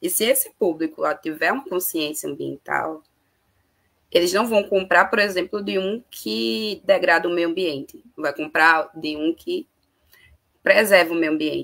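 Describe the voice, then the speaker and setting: The voice moves at a fairly slow pace with some vocal fry. Its intonation is lively. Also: woman, fairly low pitch for a woman. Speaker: panelist on climate and migration. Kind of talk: online panel discussion. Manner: hesitant, many fillers.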